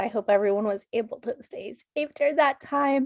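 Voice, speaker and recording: A strained woman's voice with ordinary pitch variation and a dry, close sound with no echo. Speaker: student organization leader. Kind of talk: club meeting address. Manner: strained, effortful speech.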